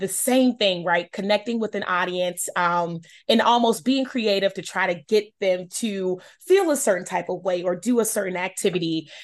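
A woman with an American accent uses a plain, everyday voice at medium pitch, with ordinary pitch variation, a moderate pace, and a quiet background. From Charlotte, North Carolina. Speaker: shoe company founder. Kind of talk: interview.

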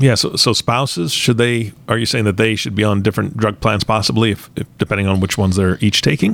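An ordinary speaking voice from a man, fairly low in pitch with ordinary pitch variation, at a fairly quick pace with hardly any pauses. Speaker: co-host interviewer. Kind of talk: casual interview.

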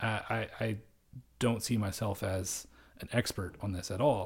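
A man speaks at a fairly low pitch, somewhat breathy, with ordinary pitch variation. The recording is very clean, the background silent. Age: 30s. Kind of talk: solo monologue. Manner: hesitant, many fillers.

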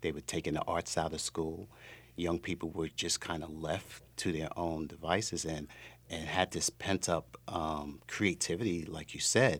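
In an American accent, a man with a very deep, low pitch speaks at a fairly slow pace with fairly even intonation. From New York City. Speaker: school executive director. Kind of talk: radio interview.

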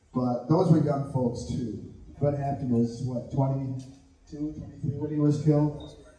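Noticeable background noise runs under a man's fairly high voice. He speaks at a very slow pace with fairly even intonation. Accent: American. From Southern California. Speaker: community organizer. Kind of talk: panel talk. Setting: live event with audience.

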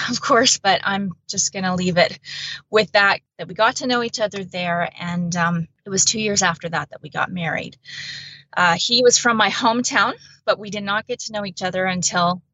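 A woman with a Canadian accent and an unremarkable speaking voice, medium pitch, ordinary pitch variation, moderate pace, and big swings in loudness. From central Alberta, Canada. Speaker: bereaved mother and blogger. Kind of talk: testimony.

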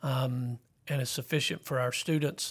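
Speaking in a Southern US accent, this voice stays monotone and flat over a very clean recording with a silent background. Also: man. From South Carolina. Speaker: school principal. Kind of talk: interview. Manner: halting.

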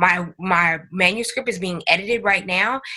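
The voice belongs to a woman with an American accent. It has a bright, sharp tone. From Northern California. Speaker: podcast network founder and author. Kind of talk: interview.

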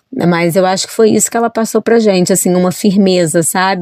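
In a normal speaking voice, a woman speaks with fairly even intonation, the sound dry and close with no echo. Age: 40s. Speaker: journalist and children's author. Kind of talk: interview.

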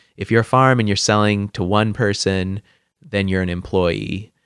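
Very clean with a silent background and a dry, close sound without echo, this recording has a man in a normal speaking voice with an American accent, a fairly low pitch, moderate pace and fairly even intonation. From Washington State, US (Lynden). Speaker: chef. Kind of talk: casual interview.

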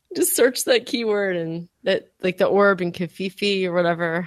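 A woman with an unremarkable speaking voice talks at a moderate pace. The sound is dry and close, with no echo. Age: 40s. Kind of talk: casual chat.

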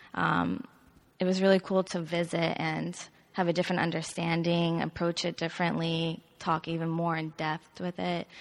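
A woman with an American accent, fairly low in pitch and monotone, flat in intonation, at a moderate pace against a quiet background. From US South, South Carolina. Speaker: ballet dancer. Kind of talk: interview.

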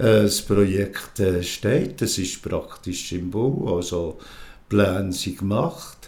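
Audible room echo surrounds a man whose voice sits fairly low in pitch. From rural Switzerland. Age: 70s. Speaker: queer seniors association volunteer. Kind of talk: interview. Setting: at his home. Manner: halting.

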